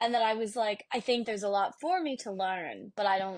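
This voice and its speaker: A woman's voice, a plain, everyday voice, at a moderate pace with ordinary pitch variation and a quiet background. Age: 20s. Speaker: podcast co-host. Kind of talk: casual chat.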